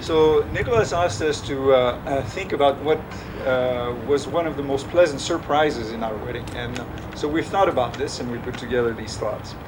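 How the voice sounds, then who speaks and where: Someone with a French accent speaks at a fairly quick pace with ordinary pitch variation, amid noticeable background noise and audible room echo. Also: man, fairly high pitch for a man. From France. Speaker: father of the groom. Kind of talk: wedding speech. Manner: halting.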